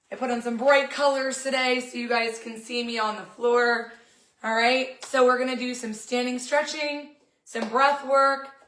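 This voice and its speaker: A woman speaks in a high, flat monotone, with audible echo in the room. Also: moderate pace. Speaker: fitness coach. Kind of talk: guided stretch class.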